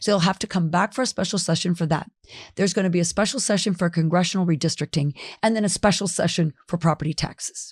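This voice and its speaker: A woman with an American accent talks at a very fast pace. Her voice is somewhat breathy and fairly low in pitch. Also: ordinary pitch variation, dry, close sound with no echo, very clean recording, silent background. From South Florida. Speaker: county commissioner and former state legislator. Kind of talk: podcast interview.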